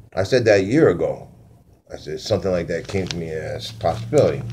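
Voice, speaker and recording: Music plays in the background as a man with a very deep, low pitch makes very wide pitch swings, with audible room echo. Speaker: conspiracy vlogger. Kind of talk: casual monologue; reading aloud own notes. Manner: fast; halting.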